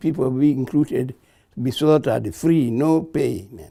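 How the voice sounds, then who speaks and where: This is a man speaking. He has a Kenyan accent. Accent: Kenyan (Luo) English. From Kenya, Kisumu County. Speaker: war veteran. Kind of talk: oral history interview. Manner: halting.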